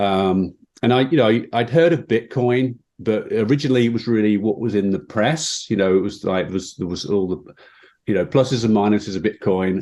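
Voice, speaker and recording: In a British accent, a man speaks with a dark, mellow tone. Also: quiet background. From England, Midlands. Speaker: fintech executive. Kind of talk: interview.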